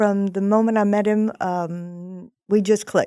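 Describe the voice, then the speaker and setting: With an American accent, a woman speaks at a fairly slow pace. Her tone is dark and mellow, and her pitch is medium. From Texas (Houston). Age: 70s. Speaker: small business owner. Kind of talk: casual interview chat. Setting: studio.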